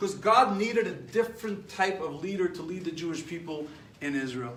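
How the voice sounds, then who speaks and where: A man's high-pitched voice with lively intonation and an American accent, plus audible room echo and noticeable background noise. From New York. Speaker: rabbi teaching a class. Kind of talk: lecture. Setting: live stream class. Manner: animated.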